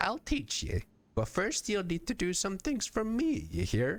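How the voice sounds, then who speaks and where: A man uses a put-on character voice that is gruff and high-pitched. He keeps a moderate pace. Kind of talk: put-on old woman voice. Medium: actual play. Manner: gruff, archaic folksy speech.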